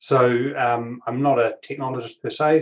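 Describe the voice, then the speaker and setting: A man with a New Zealand accent speaks at a medium pitch and a moderate pace. His voice sounds somewhat breathy. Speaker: tech industry analyst and angel investor. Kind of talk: interview. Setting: video call.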